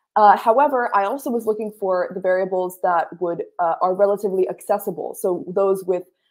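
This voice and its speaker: A woman with an American accent at a moderate pace, over a quiet background. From USA. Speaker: sustainability researcher, recent graduate. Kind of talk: presentation on livestream; Q&A. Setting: video call livestream.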